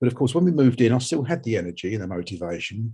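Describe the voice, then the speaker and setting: Dark and mellow in tone, a man speaks in a somewhat breathy voice with an English accent. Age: 60s. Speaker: research participant, homeowner. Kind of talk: personal testimony. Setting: webinar. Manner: halting, repeats words.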